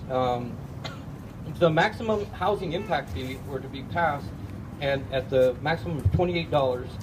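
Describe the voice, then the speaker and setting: Amid noticeable background noise, a man with fairly high pitch talks at a moderate pace, with long, frequent pauses, very wide pitch swings and big swings in loudness. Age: 60s. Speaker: unemployed engineer, homeless camp resident. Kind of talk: public testimony. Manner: hesitant, with fillers.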